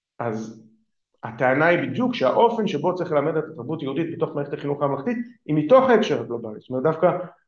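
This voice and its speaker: With audible room echo around him, a man speaks fairly quickly at a fairly high pitch, his voice swinging very widely. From Israel. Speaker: political philosopher, think tank director. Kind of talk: lecture.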